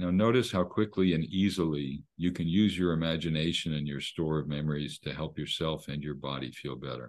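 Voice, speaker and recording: At a fairly quick pace, a man talks with a very deep, low pitch and vocal fry. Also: ordinary pitch variation, quiet background. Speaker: psychiatrist and hypnosis researcher. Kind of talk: guided hypnosis induction, step-by-step breathing and eye-closure instructions. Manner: soothing, gently paced with reassuring praise.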